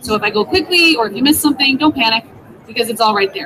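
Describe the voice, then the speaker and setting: A woman speaks with a Canadian accent and lively intonation. Crowd noise runs in the background. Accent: Canadian, noticeable on 'sorry'. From Canada, Ontario. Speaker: tech coach, teacher. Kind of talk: conference presentation, tutorial. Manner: animated, chatty.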